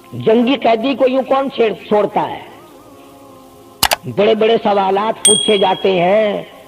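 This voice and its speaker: Music plays in the background as the voice holds a fairly even intonation. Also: man, high pitch for a man. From Pakistan, Punjab (Multan). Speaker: Islamic preacher. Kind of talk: religious sermon.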